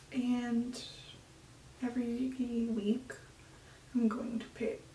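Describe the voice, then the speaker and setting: A soft-spoken, high-pitched woman's voice amid noticeable background noise and audible room echo. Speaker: flutist vlogger. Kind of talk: casual vlog talk to camera.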